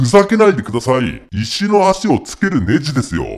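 Putting on a character voice, a man talks at a moderate pace with very wide pitch swings. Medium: comedy sketch. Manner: escalates from hesitant to rough shouting.

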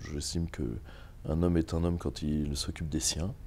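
This man has a very deep, low pitch and a dark, mellow tone. He talks at a fairly slow pace. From Normandy, France. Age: 30s. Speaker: political activist and teacher; teacher. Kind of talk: interview. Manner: halting. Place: home room. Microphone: lapel.

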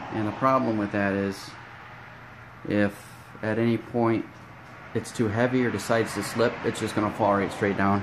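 Noticeable background noise accompanies a man talking at a moderate pace with a fairly low pitch. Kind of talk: casual DIY tutorial. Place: garage. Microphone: phone near.

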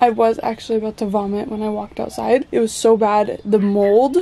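Her pace is fairly quick. This woman keeps her intonation fairly even. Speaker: vlogger. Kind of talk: casual vlog chat. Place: home room. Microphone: phone near.

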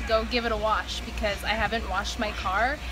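A woman's voice over clear background music. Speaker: vlogger. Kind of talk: casual vlog chat. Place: street. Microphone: phone near.

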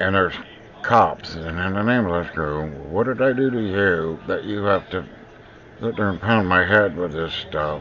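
Over noticeable background noise, a man with a very deep, low pitch talks at a moderate pace with ordinary pitch variation. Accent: American. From US Pacific Northwest. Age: 50s. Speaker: video blogger. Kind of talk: personal video monologue. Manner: halting.

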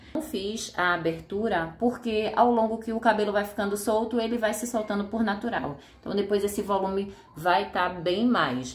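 At a fairly slow pace, a woman speaks with ordinary pitch variation, and room echo is audible. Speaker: fashion vlogger. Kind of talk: casual vlog chat. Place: home room.

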